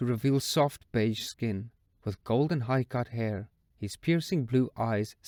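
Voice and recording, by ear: With ordinary pitch variation, this is someone reading aloud in a natural voice.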